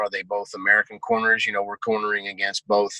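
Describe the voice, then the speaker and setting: The speaker is a man with a medium-pitched voice. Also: dry, close sound with no echo. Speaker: MMA coach. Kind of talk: casual chat. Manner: loud; animated.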